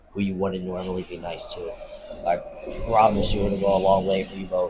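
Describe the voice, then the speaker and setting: A man talks at a fairly quick clip with a fairly low pitch. Noticeable background noise runs under his speech. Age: 30s. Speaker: podcast host. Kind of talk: personal monologue. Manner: casual, filler-heavy.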